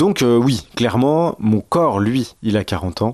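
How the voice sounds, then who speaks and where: In a dry, close sound with no echo, a man speaks at a fairly slow pace and a medium pitch. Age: 40s. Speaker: podcaster, expectant father. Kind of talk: personal testimony monologue. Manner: hesitant, many fillers.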